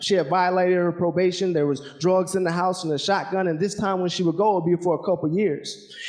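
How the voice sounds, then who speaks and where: With a Southern US accent, a man talks at a very fast pace with hardly any pauses, his pitch high. His intonation stays monotone and flat over noticeable background noise. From Alaska, later Georgia from age ten. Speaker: military helicopter pilot and motivational speaker. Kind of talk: motivational talk with spoken word poetry.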